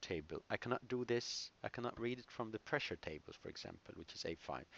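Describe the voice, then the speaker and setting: A man with a plain, everyday voice at a medium pitch, speaking at a moderate pace. The sound is dry and close, with no echo. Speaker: engineering instructor. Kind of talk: lecture.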